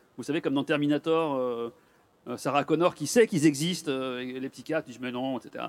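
An ordinary speaking voice from a man, fairly high in pitch with ordinary pitch variation and a fairly quick pace, in a dry, close sound with no echo. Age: 50s. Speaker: neurologist. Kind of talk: public talk. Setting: stage with audience.

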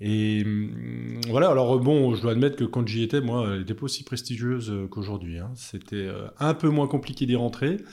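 A man talks at a moderate pace with a dark, mellow tone, medium pitch, ordinary pitch variation and hardly any pauses, on a very clean recording with a silent background. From Chablais, Haute-Savoie, France. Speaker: engineer and hydropower company founder. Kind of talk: podcast interview.

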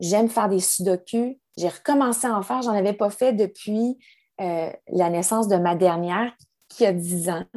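In a Quebec accent, a woman speaks at a fairly slow pace with a dark, mellow tone, medium pitch and ordinary pitch variation. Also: quiet background. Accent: Québécois French. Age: 40s. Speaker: yoga teacher and wellness advisor. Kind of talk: interview. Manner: halting.

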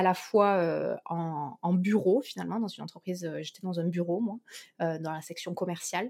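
The speech moves at a fairly slow pace. Intonation stays fairly even. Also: woman. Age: 20s. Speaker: company director. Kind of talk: interview.

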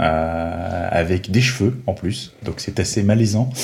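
Speaking very slowly, a man with a fairly low pitch sounds somewhat breathy. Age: 30s. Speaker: Lego fan reviewing sets. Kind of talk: casual chat.

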